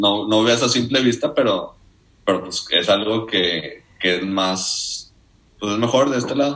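A man talks in an ordinary speaking voice. His pace is fairly slow and his pitch variation ordinary. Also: medium pitch for a man. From Mexico, Nuevo Laredo, Tamaulipas. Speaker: economics student. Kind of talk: casual chat. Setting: studio.

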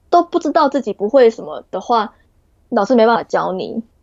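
A woman's fairly high-pitched, normal speaking voice at a fairly quick pace. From Taiwan. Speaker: graduate student. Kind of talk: interview.

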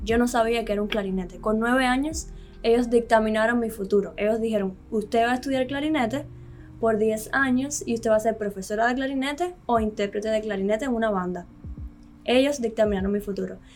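Using a normal speaking voice, a woman talks at a fairly quick pace with a fairly high pitch and ordinary pitch variation. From Cuba. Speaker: piano teacher. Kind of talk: interview.

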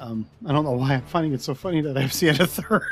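A man does a raspy put-on character voice with a fairly high pitch. He rattles along at a very fast pace.

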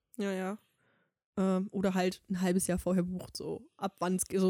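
The sound is dry and close, without any echo. A woman does the talking. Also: very clean recording, silent background. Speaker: podcast co-host. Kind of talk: casual chat.

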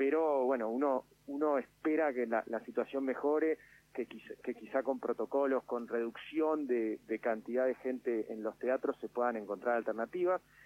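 A man's unremarkable speaking voice at medium pitch, with ordinary pitch variation, a moderate pace and hardly any pauses. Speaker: tourism official. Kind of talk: radio interview. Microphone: line cut out briefly.

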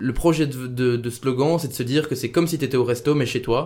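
This is a plain, everyday voice at a fairly quick pace. The intonation stays fairly even. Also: man. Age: 20s. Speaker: podcast host and youth political organizer. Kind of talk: casual chat. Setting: café.

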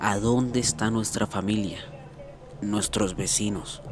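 Over music in the background, a man delivers his words in a dramatic tone at a very slow pace, his fairly low pitch held to a fairly even intonation. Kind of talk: bedtime ghost story, scripted-sounding narration of a paranormal tale. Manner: slow, hushed, suspenseful storyteller with dramatic pauses; measured and eerie, building tension toward the twist.

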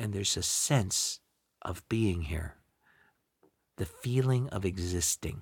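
In a very clean recording with a silent background, a man speaks at a very slow pace with long, frequent pauses. His very deep, low voice is somewhat breathy, with lively intonation. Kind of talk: guided meditation. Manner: slow, gentle, unhurried, with long pauses; soft-spoken, warm and soothing.

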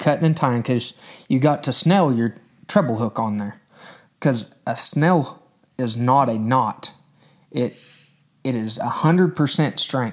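Pausing long and often, a man speaks at a fairly slow pace and medium pitch with ordinary pitch variation. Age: 20s. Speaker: angler. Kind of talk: casual chat.

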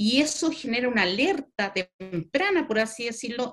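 At a fairly slow pace, a woman talks in a normal speaking voice with lively intonation. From Chile. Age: 40s. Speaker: veterinarian and university sustainability coordinator. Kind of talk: interview.

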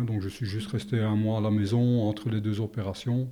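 A dark, mellow tone against a quiet background. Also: man. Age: 60s. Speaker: retired soldier and heart patient. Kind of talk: personal testimony interview. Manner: hesitant, many fillers.

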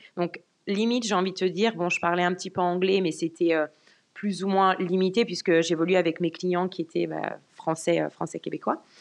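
A woman speaks at a moderate pace with a fairly low pitch. Her intonation stays fairly even against a quiet background. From France. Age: 20s. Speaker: car sales professional. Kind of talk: casual interview chat. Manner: hesitant, many fillers.

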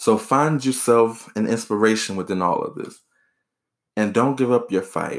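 A man speaks at a moderate pace in a medium pitch, with ordinary pitch variation, on a very clean recording with a silent background. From US South, rural South Carolina. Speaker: podcast host, college student and author. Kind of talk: solo podcast monologue.

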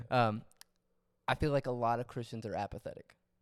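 A man speaks at a fairly quick pace. The recording is very clean with a silent background, and the sound is dry and close with no echo. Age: 20s. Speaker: musician, guest. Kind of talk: casual chat about faith.

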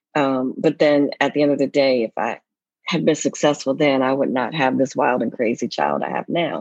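With an American accent, a woman speaks at a moderate pace in a very deep, low pitch with vocal fry and ordinary pitch variation, the sound dry and close with no echo. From United States. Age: 50s. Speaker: foreign service officer. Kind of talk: casual chat.

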